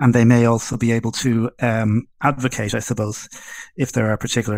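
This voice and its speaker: Medium-pitched, flat and monotone male speech with a strong Irish accent, at a moderate pace, on a very clean recording with a silent background. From Ireland, Dublin. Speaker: webinar host. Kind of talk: hosting a Q&A session.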